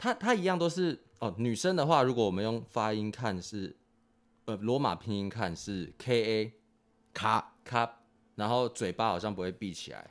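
A man with a plain, everyday voice speaks at a moderate pace, his medium pitch carried by lively intonation. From Taiwan. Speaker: expatriate factory worker. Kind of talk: casual chat.

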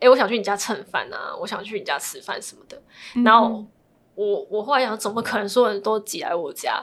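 Speaking at a fairly quick pace, a woman uses a plain, everyday voice with fairly high pitch, fairly even intonation and big swings in loudness. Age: 20s. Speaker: divorcee sharing her story. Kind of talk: interview.

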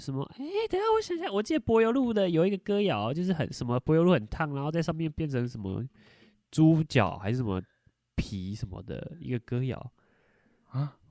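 In a dry, close recording with no echo, a man talks fairly quickly in a fairly high pitch with a dark, mellow tone and very wide pitch swings. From Taiwan, Taichung. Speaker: podcast host. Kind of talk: casual chat.

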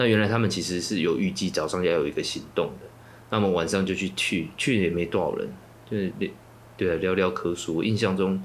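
Amid audible room echo, a man with a very deep, low voice speaks at a fairly quick pace with fairly even intonation. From Taiwan, Yilan. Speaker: activist and political organizer. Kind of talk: interview.

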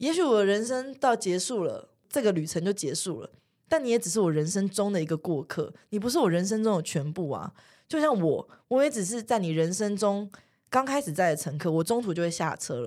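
Talking at a fairly quick pace and medium pitch, a woman swings her pitch very widely. The recording is very clean, with a silent background. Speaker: friend of the host. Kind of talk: casual chat. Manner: lively.

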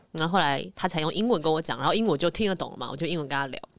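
Speaking at a very fast pace, a woman uses a fairly low pitch and lively intonation. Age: 20s. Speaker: reality show contestant. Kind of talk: casual chat.

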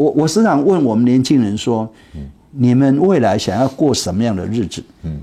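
A man with a dark, mellow tone talks at a medium pitch. His pace is fairly slow and his intonation lively. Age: 70s. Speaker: retired tech executive and startup mentor. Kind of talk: interview.

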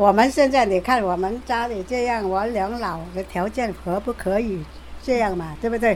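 A woman talks at a moderate pace, her pitch varying in an ordinary way, while noticeable background noise is present. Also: medium pitch for a woman. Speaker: care recipient. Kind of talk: interview.

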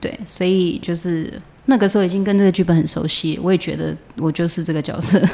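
Over noticeable background noise, a woman talks at a fairly quick pace in a fairly low voice with ordinary pitch variation. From Taiwan. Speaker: actress. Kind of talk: interview, casual chat.

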